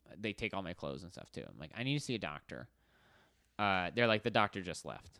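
Talking at a very fast pace with lively intonation, a man with a fairly low pitch, a bright, sharp tone and vocal fry sounds dry and close with no echo in a very clean recording with a silent background. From Arizona, US. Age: 20s. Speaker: writer and director. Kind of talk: casual chat.

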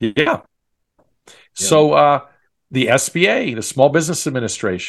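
Against a quiet background, a man talks in a normal speaking voice with an American accent. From Long Island, New York. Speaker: franchise consultant. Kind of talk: interview.

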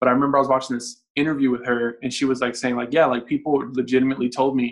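At a fairly quick pace, a man talks in a normal speaking voice at a medium pitch. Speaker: musician. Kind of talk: casual interview.

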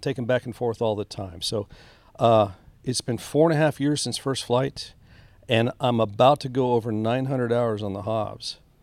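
A man speaks at a moderate pace with fairly even intonation on a very clean recording with a silent background. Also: dry, close sound with no echo. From Texas, Rio Grande Valley. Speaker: retired Air Force officer and airline pilot. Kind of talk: casual interview. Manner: halting.

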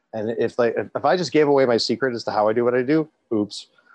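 Speaking with a Canadian accent, a man has a normal speaking voice at a medium pitch. He talks at a fairly quick pace with ordinary pitch variation. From Toronto, Canada. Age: 40s. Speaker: cancer survivor and peer supporter. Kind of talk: interview.

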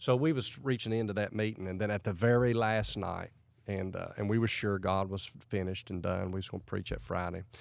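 In a very clean recording with a silent background, a man speaks with an American accent at a fairly quick pace. He has an ordinary speaking voice, fairly low in pitch, with fairly even intonation. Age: 40s. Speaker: evangelist. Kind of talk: casual interview chat.

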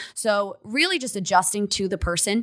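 On a very clean recording with a silent background, a woman speaks fairly quickly at a medium pitch with ordinary pitch variation and a bright, sharp tone. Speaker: fitness coach and competitive bodybuilder. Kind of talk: casual chat.

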